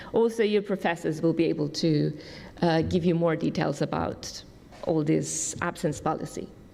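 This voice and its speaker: Her tone dark and mellow with vocal fry, a woman speaks at a fairly low pitch and moderate pace, with fairly even intonation and very even loudness. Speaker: summer school staff member. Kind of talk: orientation briefing.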